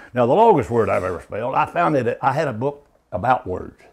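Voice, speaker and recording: Lively intonation marks this voice with a Kentucky accent. The pace is fairly quick. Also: man. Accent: Southern US, Kentucky. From rural Kentucky. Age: 70s. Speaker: backwards speller. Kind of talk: casual interview answer.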